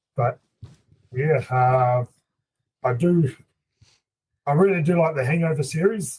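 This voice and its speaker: A man with a slight New Zealand accent speaks at a fairly slow pace, with long, frequent pauses. His voice is somewhat breathy and fairly high in pitch. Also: ordinary pitch variation. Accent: mild New Zealand. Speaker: hunting guide and outfitter. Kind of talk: casual chat.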